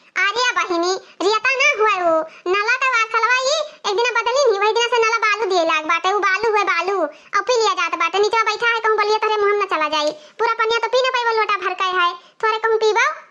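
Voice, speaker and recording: A woman does a cartoonish character voice at an extremely high pitch. She keeps a fairly quick pace and very even loudness. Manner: earthy, blunt, dialect-heavy.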